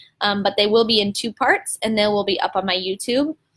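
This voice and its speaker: Music plays behind a woman's voice. Her pitch is fairly high, with ordinary pitch variation. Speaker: teacher running live video chat for teachers. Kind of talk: live stream talk answering viewer questions. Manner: loud; energetic, animated.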